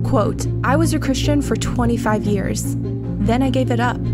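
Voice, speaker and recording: There is music in the background as a woman speaks. She keeps a moderate pace and ordinary pitch variation. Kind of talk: promotional trailer narration.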